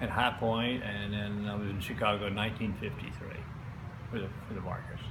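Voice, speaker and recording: Noticeable noise sits behind a man whose speech moves fairly quickly. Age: 80s+. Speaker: furniture sales rep. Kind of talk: interview answer.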